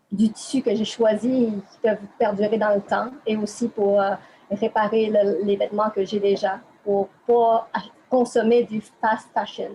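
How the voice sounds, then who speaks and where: A woman with a Quebec accent speaks at a very slow pace and a fairly high pitch. Her intonation is monotone and flat, with big swings in loudness. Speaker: interviewee. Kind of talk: interview. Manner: hesitant.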